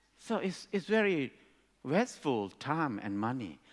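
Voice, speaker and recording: A man with a Thai accent speaks at a moderate pace and a fairly high pitch. The recording is very clean, with a silent background. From Thailand. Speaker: speaker at education conference. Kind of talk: talk to an audience.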